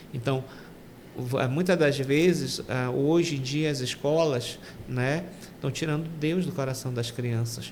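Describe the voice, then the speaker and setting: Very slow delivery, audible echo from the room, and noticeable background noise. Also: man. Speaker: deacon. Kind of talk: testimony. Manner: halting.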